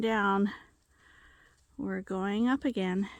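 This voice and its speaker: A woman talks in an ordinary speaking voice at a medium pitch. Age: 60s. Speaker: farmer and hiking vlogger. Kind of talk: casual narration while hiking. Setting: outdoors on a hiking trail.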